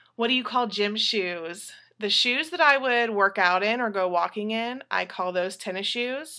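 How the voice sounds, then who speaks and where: A woman with an American accent and a bright, sharp tone speaks at a fairly slow pace with ordinary pitch variation, in a very clean recording with a silent background. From Texas. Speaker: vlogger. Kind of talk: accent tag word list reading and answers.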